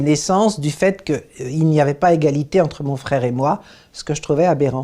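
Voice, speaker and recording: Her voice is very deep and low for a woman, with a dark, mellow tone. She speaks at a moderate pace with ordinary pitch variation over a quiet background. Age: 80s+. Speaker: human rights activist. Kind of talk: interview testimony.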